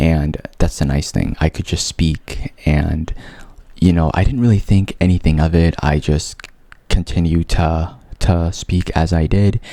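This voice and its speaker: Over noticeable background noise, a man with a very deep, low pitch talks at a fairly slow pace. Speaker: vlogger with a stutter. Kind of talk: personal testimony vlog. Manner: casual with repetitions and fillers.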